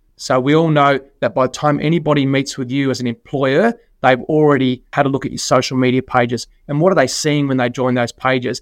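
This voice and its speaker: With an Australian accent, a medium-pitched man talks at a fairly quick pace, keeping his intonation fairly even. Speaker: financial services executive. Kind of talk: podcast interview.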